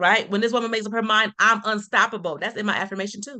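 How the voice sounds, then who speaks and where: Over a quiet background, a woman speaks very fast in a fairly high, animated voice with a bright, sharp tone. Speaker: motivational speaker. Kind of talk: podcast interview.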